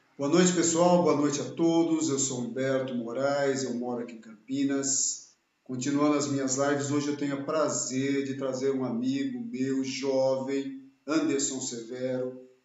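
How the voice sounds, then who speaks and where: With audible room echo around him, a man talks at a fairly slow pace in a fairly high pitch, his intonation fairly even. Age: 60s. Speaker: channel host, engineer. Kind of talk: live video interview. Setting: home office, live stream.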